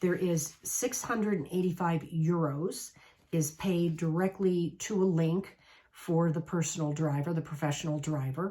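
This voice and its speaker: This woman, with an American accent, speaks at a fairly slow pace and fairly low pitch in a dark, mellow, somewhat breathy tone, with very even loudness and ordinary pitch variation. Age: 60s. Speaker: travel coach. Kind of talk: casual talk to camera.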